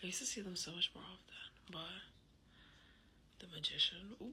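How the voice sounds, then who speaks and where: Amid noticeable background noise, a woman keeps up a moderate pace. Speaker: tarot reader. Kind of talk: casual tarot reading monologue. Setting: apartment at night. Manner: hesitant, filler-heavy.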